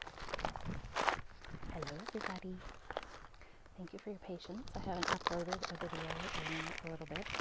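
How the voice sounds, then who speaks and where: Over noticeable background noise, a woman speaks at a fairly low pitch with fairly even intonation. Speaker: ASMR creator, parent. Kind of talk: ASMR ramble while eating a snack. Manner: soft-spoken, quiet, slow.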